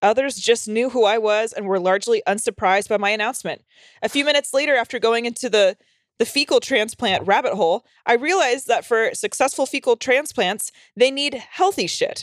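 Lively intonation and a fairly quick pace mark a woman's fairly high-pitched voice, a plain, everyday voice. The recording is very clean with a silent background and a dry, close sound with no echo. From North Carolina, US South. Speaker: podcast co-host. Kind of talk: casual chat, bawdy comedy.

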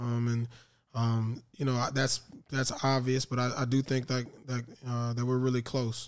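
With an American accent, a man talks at a moderate pace in a medium pitch, his intonation monotone and flat and his loudness very even. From Tallahassee, Florida. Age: 30s. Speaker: former pro football player. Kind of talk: interview. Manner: hesitant, many fillers.

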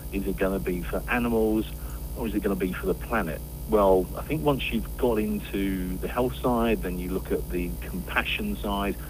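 Over noticeable background noise, a man with a very deep, low pitch speaks at a moderate pace, his pitch swinging very widely. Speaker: event organiser. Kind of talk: casual interview.

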